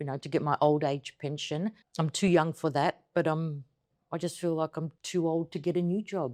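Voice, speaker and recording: A woman with an Australian accent and very deep, low pitch, at a moderate pace with fairly even intonation, in a very clean recording with a silent background and a dry, close sound with no echo. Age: 50s. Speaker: interviewee, returning emigrant. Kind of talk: interview conversation.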